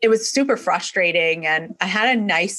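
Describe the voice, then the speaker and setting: In a New York accent, a woman talks fairly slowly with a bright, sharp tone and ordinary pitch variation. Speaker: chiropractor. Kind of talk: interview conversation.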